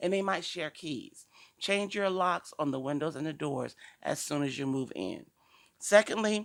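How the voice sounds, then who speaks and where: A woman with an American accent at a moderate pace, lively in intonation, on a very clean recording with a silent background. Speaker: talk show host and domestic violence advocate. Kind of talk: informational talk show monologue. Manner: casual and conversational; occasional stumbles while reading along.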